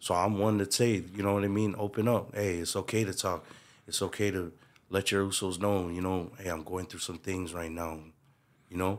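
A Hawaiian accent with monotone, flat intonation. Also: man, very deep, low pitch for a man, moderate pace, very clean recording, silent background. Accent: Hawaiian local English. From Hawaii, Waipahu. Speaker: community figure. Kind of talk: casual chat.

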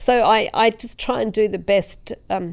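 On a very clean recording with a silent background, a woman speaks with an Australian accent. Vocal fry runs through her voice. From South Australia, rural Tatiara district. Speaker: road safety organisation CEO. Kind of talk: interview conversation. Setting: studio, quiet room.

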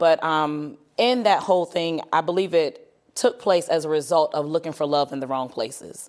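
With a plain, everyday voice, a woman speaks at a moderate pace and a fairly low pitch with ordinary pitch variation on a very clean recording with a silent background. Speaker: ministry leader. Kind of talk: testimony. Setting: studio.

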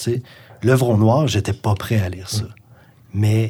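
Somewhat breathy, a man with a Quebec accent talks in a fairly low pitch with ordinary pitch variation. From Gaspésie, Quebec. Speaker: musician and author. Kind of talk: casual chat.

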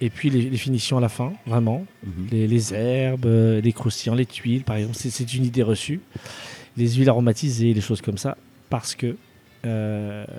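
Speaking at a medium pitch, a man has a dark, mellow tone. His pace is moderate and his intonation fairly even. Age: 30s. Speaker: chef. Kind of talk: interview. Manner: halting.

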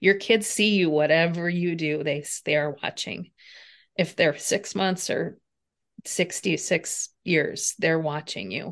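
Against a quiet background, a woman with an unremarkable speaking voice talks at a fairly slow pace. Her pitch is fairly low and her intonation fairly even. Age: 50s. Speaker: personal trainer and healthcare consultant. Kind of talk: interview.

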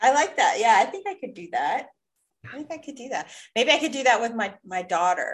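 Her voice high-pitched, a woman makes very wide pitch swings and big swings in loudness. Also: fairly quick pace. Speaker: podcast host. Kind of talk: casual chat.

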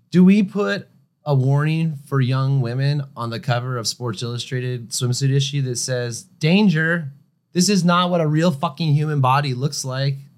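A man with a normal speaking voice talks at a fairly high pitch for a man with ordinary pitch variation. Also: moderate pace. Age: 40s. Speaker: photographer and creative company CEO. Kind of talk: casual interview conversation.

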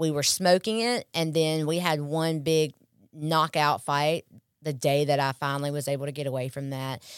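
A woman with an American accent speaks at a moderate pace in a very deep, low pitch, the sound dry and close with no echo on a very clean recording with a silent background. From Mississippi, US South. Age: 30s. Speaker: recovering addict sharing testimony. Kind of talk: testimony.

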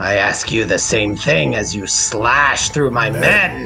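A raspy put-on character voice from a man, medium in pitch and fairly slow, with clear music in the background.

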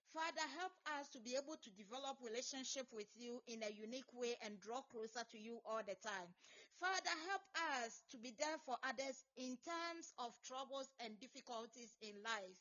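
At a moderate pace, a woman speaks in a high pitch with an intense tone and lively intonation. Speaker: prayer session leader. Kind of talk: fervent group prayer, leading a prayer meeting. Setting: online video call app. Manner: intense, repetitive, rhythmic, urgent pleading.

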